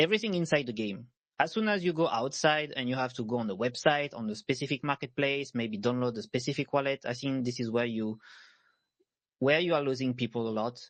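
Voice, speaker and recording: A man with a French accent speaks at a fairly quick pace. His pitch is medium, with ordinary pitch variation. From France. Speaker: panelist, web3 gaming founder. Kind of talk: panel discussion. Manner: halting, many fillers.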